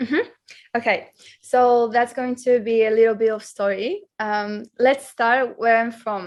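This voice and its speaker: Fairly high in pitch, a woman talks with a Polish accent. She keeps a fairly slow pace and fairly even intonation. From Poland. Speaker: marketing manager and psychologist. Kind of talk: interview.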